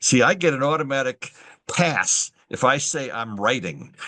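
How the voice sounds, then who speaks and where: Bright and sharp in tone, a man's fairly high-pitched voice carries vocal fry. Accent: American. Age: 70s. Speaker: veteran writing instructor. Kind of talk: webinar presentation. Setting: video call. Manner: halting.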